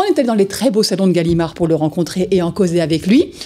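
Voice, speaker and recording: The speaker moves at a very fast pace with lively intonation. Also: woman. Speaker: TV presenter of a comic book show. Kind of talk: live TV show presenting; interview. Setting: TV studio, live broadcast.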